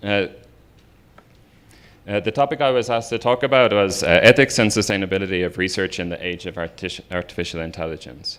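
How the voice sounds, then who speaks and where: Speaking in an Irish accent, a man keeps to a fairly low pitch. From Ireland. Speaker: researcher and professor. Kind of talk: lecture. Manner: hesitant, many fillers.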